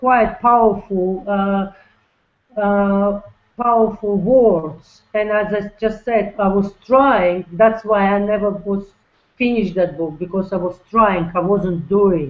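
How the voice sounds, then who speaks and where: Speech comes in a non-native accent at a very slow pace. The intonation stays fairly even. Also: woman. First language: not English. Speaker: network marketer. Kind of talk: webinar interview. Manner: talkative; halting.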